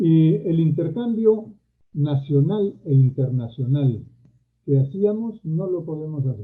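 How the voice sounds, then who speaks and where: Lively in intonation, a man speaks at a fairly high pitch and a very slow pace. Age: 70s. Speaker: university leader and former education minister. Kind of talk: panel talk.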